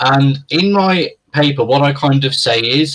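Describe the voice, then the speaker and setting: This man speaks in a British accent. His pitch is fairly high. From UK. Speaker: philosopher. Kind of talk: interview conversation. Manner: hesitant, many fillers.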